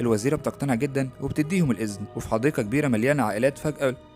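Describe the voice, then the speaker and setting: A man talking at a fairly quick pace with lively intonation, music in the background. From Egypt. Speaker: YouTube narrator, horror program announcer. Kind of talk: film plot summary narration.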